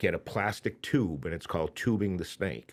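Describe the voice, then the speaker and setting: Intonation is lively, and the pace stays moderate. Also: man. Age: 60s. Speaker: outdoors expert and podcast co-host. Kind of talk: casual chat. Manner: animated.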